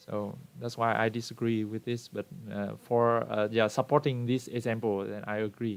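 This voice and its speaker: Speaking in a monotone with flat intonation, a man with a Vietnamese accent holds a medium pitch. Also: moderate pace. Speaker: book club member. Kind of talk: book discussion in online meeting. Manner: halting, many fillers.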